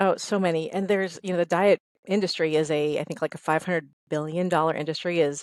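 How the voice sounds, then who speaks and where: Very fast speech from a woman with a fairly low pitch, on a very clean recording with a silent background. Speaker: fitness instructor and trainer. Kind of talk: podcast interview. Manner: animated.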